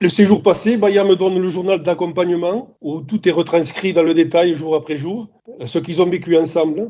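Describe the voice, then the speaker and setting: A man with a high pitch speaks at a fairly slow pace in a dark, mellow tone. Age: 60s. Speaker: family caregiver. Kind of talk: testimony. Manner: halting, many hesitations.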